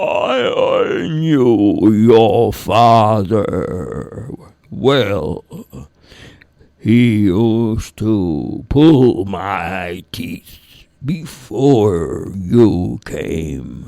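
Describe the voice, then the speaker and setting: Putting on a character voice, a man rumbles at a very slow pace in a medium pitch. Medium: read story. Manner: slow, gentle.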